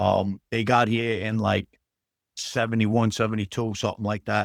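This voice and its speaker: With a strong New York accent, a man speaks at a moderate pace in a fairly low, monotone, flat voice, the sound dry and close with no echo and the recording very clean against a silent background. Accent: strong old-school New York. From New York City, Queens. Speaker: actor. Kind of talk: casual interview chat. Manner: casual, many fillers.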